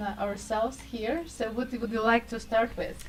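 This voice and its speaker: Against noticeable background noise, a woman speaks at a fairly high pitch and fairly slow pace in a monotone, flat intonation. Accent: Russian. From Russia. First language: Russian. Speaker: radio show host. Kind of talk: casual interview. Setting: studio.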